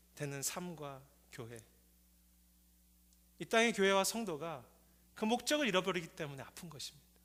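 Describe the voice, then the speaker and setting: The man's high, bright, sharp voice carries lively intonation at a moderate pace. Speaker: pastor. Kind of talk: sermon.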